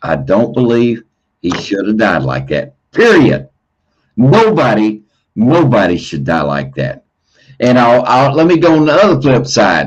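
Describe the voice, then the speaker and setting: Using vocal fry, a man talks at a fairly slow pace with very wide pitch swings. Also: medium pitch for a man. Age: 60s. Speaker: livestream host. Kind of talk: heated debate. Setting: livestream. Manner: repetitive, stammering.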